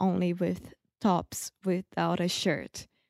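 A woman's medium-pitched voice with a Brazilian accent, dry and close with no echo, on a very clean recording over a silent background. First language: Portuguese. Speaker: English learner, girlfriend of host. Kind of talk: casual chat.

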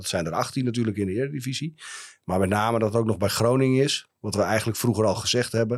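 The man has an ordinary speaking voice at a medium pitch. His pitch variation is ordinary. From Friesland, Netherlands (Heerenveen). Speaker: company founder and director. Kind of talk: interview. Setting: studio.

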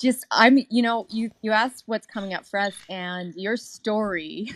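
A woman with a plain, everyday voice speaks at a fairly slow pace and a fairly high pitch. The recording is very clean with a silent background, dry and close with no echo. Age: 40s. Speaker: audience member on live stream. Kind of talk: casual chat.

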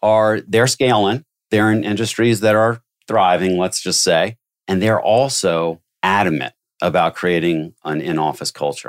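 A plain, everyday voice from a man at a fairly slow pace, with ordinary pitch variation and a dry, close sound with no echo, on a very clean recording with a silent background. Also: fairly low pitch for a man. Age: 50s. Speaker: recruiting business development executive. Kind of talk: interview conversation.

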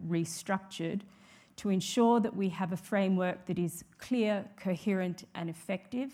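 With an Australian accent, a woman talks at a moderate pace and medium pitch with ordinary pitch variation. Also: very clean recording, silent background. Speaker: judge and law reform commission president. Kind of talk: conference keynote speech. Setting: stage with audience. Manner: formal.

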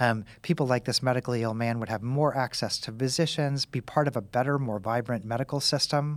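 A normal speaking voice with an American accent, fairly quick and with hardly any pauses, fairly even intonation, and a very clean recording with a silent background. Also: man, medium pitch for a man. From US Midwest, Kansas City. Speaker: author and medical professor. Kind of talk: interview.

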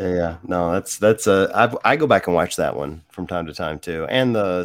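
A speaker with an American accent talks at a moderate pace in an unremarkable speaking voice. The recording is very clean, with a silent background. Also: man. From US South, Mississippi. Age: 50s. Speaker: guitarist and gym owner. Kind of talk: casual chat.

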